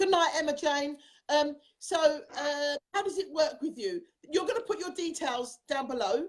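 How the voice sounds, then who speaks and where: A woman with a high pitch, at a moderate pace. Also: lively intonation. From South London, England. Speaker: transformational speaker and hypnotherapist hosting a show. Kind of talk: live-streamed interview chat. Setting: live video stream.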